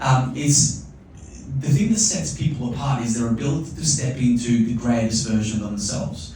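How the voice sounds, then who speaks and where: Speaking at a moderate pace, a man uses lively intonation. Audible room echo and noticeable background noise are present. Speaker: motivational speaker. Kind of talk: live keynote talk to an audience. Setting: stage with live audience. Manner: animated.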